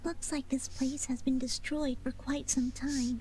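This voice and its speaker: At a moderate pace, a woman performs a put-on character voice pitched high, with clear background noise present. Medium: video game. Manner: anxious, questioning.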